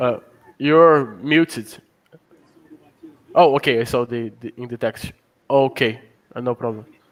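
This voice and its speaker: At a fairly slow pace with long, frequent pauses, a man with a medium pitch and ordinary pitch variation shows big swings in loudness, recorded dry and close with no echo. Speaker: programmer. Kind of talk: casual chat. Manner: halting.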